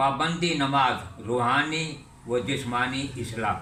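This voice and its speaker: Noticeable background noise accompanies a man whose fairly high pitch shows ordinary variation. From India, moved to Pakistan in 1947. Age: 80s+. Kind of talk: interview answer.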